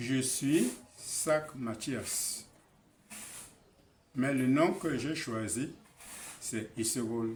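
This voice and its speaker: A man's voice with ordinary pitch variation, a very slow pace, long and frequent pauses, and audible room echo. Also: medium pitch for a man. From Cameroon, Basaa region. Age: 80s+. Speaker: traditional elder. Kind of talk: address to his people.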